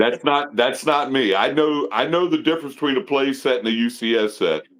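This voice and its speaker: Using an ordinary speaking voice, a man talks at a fairly quick pace in a fairly high pitch, with ordinary pitch variation and very even loudness. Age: 60s. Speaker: lego collector. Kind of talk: casual chat.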